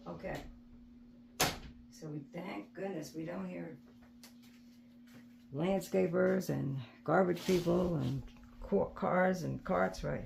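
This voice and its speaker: The speaker is soft-spoken and moves at a very slow pace. Long, frequent pauses break up the speech. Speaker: resin art crafter. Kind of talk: tutorial. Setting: indoors at home. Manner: halting.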